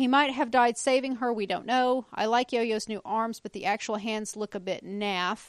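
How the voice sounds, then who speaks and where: A woman with an ordinary speaking voice, fairly high in pitch, fairly even intonation, a moderate pace, hardly any pauses and a dry, close sound with no echo. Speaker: podcast co-host. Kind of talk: casual chat.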